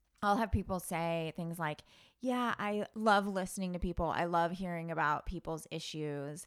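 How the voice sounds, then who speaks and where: A woman speaks at a moderate pace in a fairly low pitch with ordinary pitch variation. It is a normal speaking voice, on a very clean recording with a silent background. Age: 30s. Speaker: school psychologist and podcast co-host. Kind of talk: casual chat. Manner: frequent laughter.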